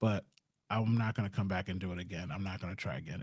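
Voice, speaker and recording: Somewhat breathy and fairly low, a man's voice moves with ordinary pitch variation in a very clean recording with a silent background. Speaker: tech vlogger. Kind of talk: casual monologue. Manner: fast.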